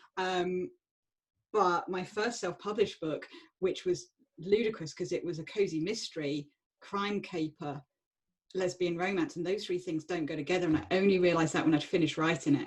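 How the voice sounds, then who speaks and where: In a southern English accent, a woman talks at a moderate pace with a fairly low pitch and ordinary pitch variation. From southern England, Surrey. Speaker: author. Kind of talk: panel discussion.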